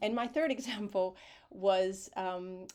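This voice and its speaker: Recorded very cleanly against a silent background, a woman speaks at a medium pitch with an American accent. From United States. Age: 50s. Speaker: writer and arts leader. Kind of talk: conference talk.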